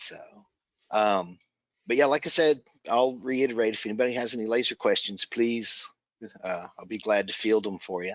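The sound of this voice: The pace is moderate and the pitch varies in an ordinary way. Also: man, fairly low pitch for a man.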